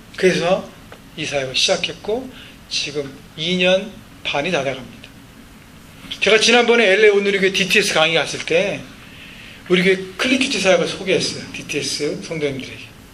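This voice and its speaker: A man at a high pitch, with lively intonation and a fairly quick pace, long, frequent pauses, audible room echo and noticeable background noise. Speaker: pastor. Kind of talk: sermon.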